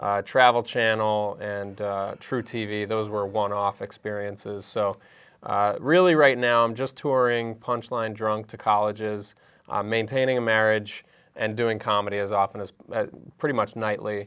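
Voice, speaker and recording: An unremarkable speaking voice with fairly even intonation proceeds at a moderate pace against a quiet background. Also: man, fairly low pitch for a man. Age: 30s. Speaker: comedian. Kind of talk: casual chat.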